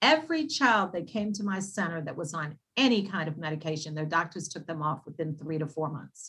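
With an American accent and a normal speaking voice, a woman talks at a fairly quick pace with hardly any pauses, at a fairly low pitch and with ordinary pitch variation. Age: 60s. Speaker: naturopath. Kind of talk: casual interview.

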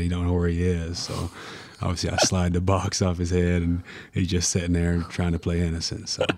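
A soft-spoken man with an American accent has a very deep, low pitch. He talks at a fairly quick pace. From Tennessee, US South. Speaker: college basketball player. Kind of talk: casual interview. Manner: quiet, soft-spoken.

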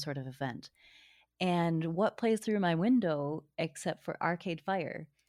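With an American accent and an unremarkable speaking voice, the speaker talks at a fairly slow pace with lively intonation in a very clean recording with a silent background. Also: woman. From Michigan. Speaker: podcast guest. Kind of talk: casual chat.

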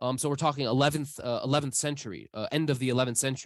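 Fairly high pitch from a man with an American accent, over a quiet background. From US Midwest. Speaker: historian. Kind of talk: interview. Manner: halting with many fillers and repetitions.

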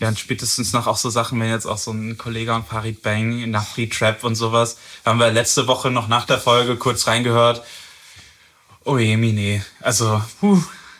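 In a monotone, flat intonation, a man with a medium-pitched voice speaks at a moderate pace. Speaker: podcast host, music reviewer. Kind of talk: casual chat.

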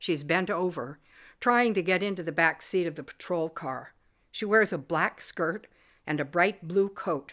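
The pitch in this plain reading aloud varies by ordinary amounts.

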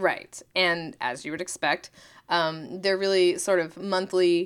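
Fairly low in pitch, a woman talks at a fairly slow pace in a normal speaking voice with fairly even intonation. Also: very clean recording, silent background. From Oklahoma. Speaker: podcast co-host, meteorologist. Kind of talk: casual educational chat.

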